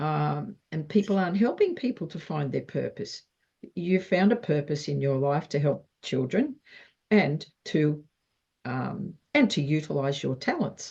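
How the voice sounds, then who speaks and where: With an Australian accent, a woman speaks fairly slowly in a very deep, low voice, her dark, mellow tone carrying vocal fry and lively intonation. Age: 70s. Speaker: wellness interview host. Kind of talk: interview.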